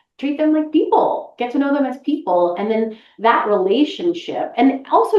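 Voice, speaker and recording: A woman with an American accent and very wide pitch swings. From Boston, US Northeast. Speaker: voice actress. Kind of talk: interview conversation.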